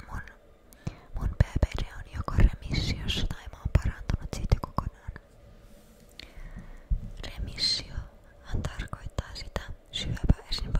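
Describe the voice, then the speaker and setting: A woman whispers at a very slow pace, with long, frequent pauses and big swings in loudness. Noticeable background noise sits underneath. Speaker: ASMR creator. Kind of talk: ASMR whisper ramble. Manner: whispered.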